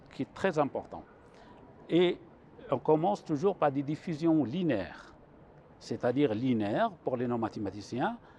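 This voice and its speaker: A man with a dark, mellow tone and fairly high pitch speaks at a fairly slow pace, swinging very widely in pitch and leaving long, frequent pauses. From Morocco, Chaouia region (Benslimane). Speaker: mathematics professor. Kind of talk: TV interview, explaining mathematics. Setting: TV studio on a university campus. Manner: hesitant, with fillers and restarts.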